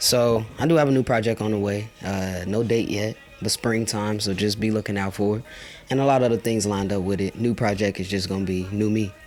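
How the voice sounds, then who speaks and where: Over music in the background, a man with an American accent speaks at a fairly quick pace and fairly low pitch with fairly even intonation. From Chicago. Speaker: rapper. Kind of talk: casual interview.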